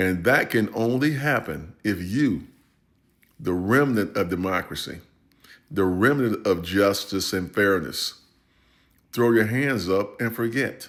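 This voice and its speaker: A man with an American accent speaks fairly slowly with lively intonation and long, frequent pauses. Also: fairly low pitch for a man. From United States. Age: 60s. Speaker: retired army veteran. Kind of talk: political commentary. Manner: impassioned.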